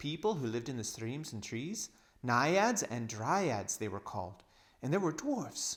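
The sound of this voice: An unforced reading voice carries the whole clip.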